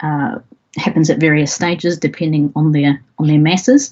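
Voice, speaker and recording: Her pitch fairly low for a woman, she speaks at a fairly slow pace. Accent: New Zealand. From New Zealand. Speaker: astrophysicist, university lecturer. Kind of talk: public science lecture.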